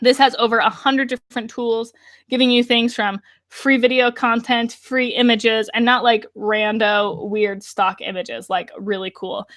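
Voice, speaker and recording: Her voice sits fairly high and has a bright, sharp tone. The woman's recording sounds dry and close, with no echo. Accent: American. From Colorado, US. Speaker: online course creator, funnel designer. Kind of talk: webinar sales pitch. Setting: live webinar. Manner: animated, enthusiastic.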